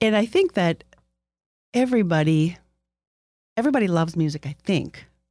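A woman with a dark, mellow tone and fairly low pitch talks at a fairly quick pace. Her intonation is lively, broken by long, frequent pauses. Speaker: podcast host. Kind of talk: casual interview. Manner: tends to talk fast.

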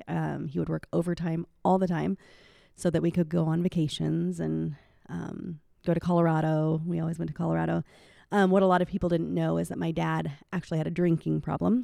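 On a very clean recording with a silent background, a woman talks at a fairly quick pace in a Midwestern US accent. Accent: US Midwest. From Iowa. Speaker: elementary school teacher and church singer. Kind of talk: interview testimony.

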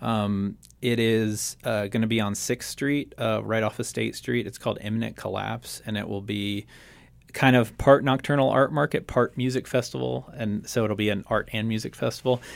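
A man with an American accent speaks at a moderate pace in a fairly low pitch, with ordinary pitch variation. The recording is very clean, with a silent background. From Roanoke, Virginia, Appalachia. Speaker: visual artist. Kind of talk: radio interview, casual chat. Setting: radio studio.

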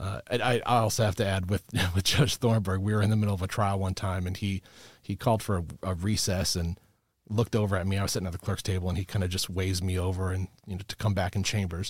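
Very deep and low, a man's somewhat breathy voice with an American accent races along at a very fast pace with fairly even intonation. The recording is very clean and dry, with a close sound, no echo and a silent background. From Chicago suburbs, US Midwest. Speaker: lawyer, bar ethics counsel. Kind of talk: casual interview.

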